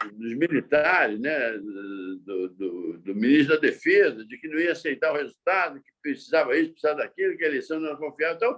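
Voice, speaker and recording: A man's fairly high voice, fairly quick with hardly any pauses, swinging very widely in pitch. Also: big swings in loudness. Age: 70s. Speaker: journalist. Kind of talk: interview. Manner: halting, with repetitions.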